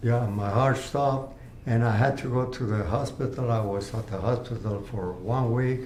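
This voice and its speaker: The man's speech is heard with audible room echo and noticeable background noise. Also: medium pitch for a man, fairly even intonation, moderate pace. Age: 80s+. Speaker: cancer patient. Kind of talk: interview testimony. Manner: halting.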